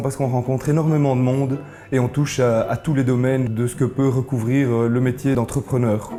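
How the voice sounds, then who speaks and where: A man at a fairly quick pace, medium pitch, monotone and flat intonation, noticeable background noise behind him. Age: 30s. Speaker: entrepreneur. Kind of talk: interview testimony.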